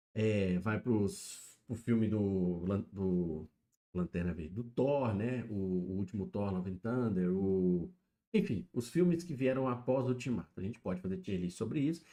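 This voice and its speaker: Here a man's voice sits fairly low, with a dark, mellow tone. He talks at a fairly slow pace with lively intonation. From Minas Gerais interior, Brazil. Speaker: streamer. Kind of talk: live stream commentary. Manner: casual, filler-heavy.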